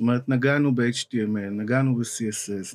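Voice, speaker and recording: A man talks at a fairly slow pace. His pitch varies in an ordinary way. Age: 40s. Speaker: front-end developer; podcast guest. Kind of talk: interview. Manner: halting. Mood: relaxed, reflective. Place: studio. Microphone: studio mic.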